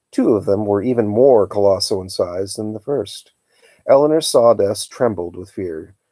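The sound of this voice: An unforced reading voice sounds over a quiet background.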